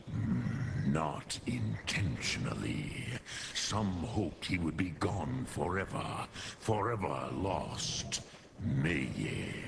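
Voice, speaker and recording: A man does a put-on character voice at a very deep, low pitch and very slow pace, with clear background noise. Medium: video game. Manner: slow, solemn, mixing dragon words.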